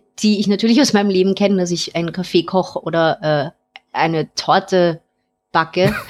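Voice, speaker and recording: A woman speaks in a plain, everyday voice with ordinary pitch variation. Her pace is moderate. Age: 30s. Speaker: caller. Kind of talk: casual chat.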